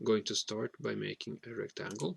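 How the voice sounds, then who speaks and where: In a dry, close sound with no echo, a man talks at a fairly slow pace. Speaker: hobbyist maker. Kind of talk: tutorial. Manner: halting, with frequent fillers.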